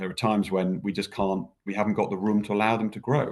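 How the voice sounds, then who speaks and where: The speaker talks at a very fast pace. The background is quiet. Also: man. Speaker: business leader. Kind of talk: interview. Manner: loud.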